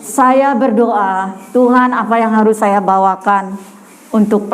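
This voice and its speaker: Amid noticeable background noise and audible room echo, a woman with a fairly high voice speaks at a very slow pace. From Madura, Indonesia (Bangkalan). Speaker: evangelist preacher. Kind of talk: sermon. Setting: women's church gathering.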